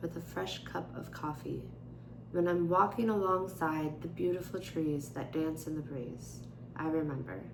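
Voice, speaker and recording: Audible room echo surrounds this recording. A woman speaks at a fairly slow pace. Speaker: vlogger. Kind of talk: casual chat.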